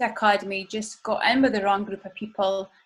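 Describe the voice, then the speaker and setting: A woman's fairly high, somewhat breathy voice. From Scotland, Aberdeen. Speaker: ministry volunteer sharing testimony. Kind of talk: testimony.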